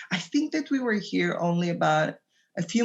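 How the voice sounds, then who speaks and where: Her voice somewhat breathy and fairly low, a woman talks at a moderate pace with an Israeli accent. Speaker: doula and childbirth educator. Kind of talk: podcast interview. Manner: halting.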